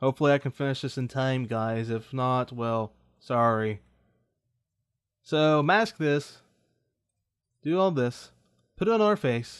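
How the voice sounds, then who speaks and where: Lively intonation from a man at medium pitch, fairly slow pace, long and frequent pauses. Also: quiet background. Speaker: tutorial video creator. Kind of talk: tutorial. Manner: halting.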